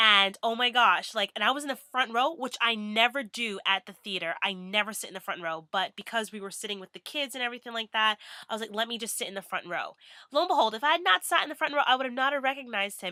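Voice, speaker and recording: In a dry, close sound with no echo, a woman talks at a very fast pace with an animated, bright, sharp tone. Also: hardly any pauses, big swings in loudness. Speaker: vlogger. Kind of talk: casual vlog.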